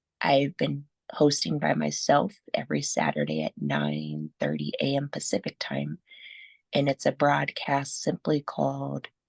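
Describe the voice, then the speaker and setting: A fairly slow woman's voice with an American accent, dry and close with no echo. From Southern California. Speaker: radio host, blind advocate. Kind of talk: interview.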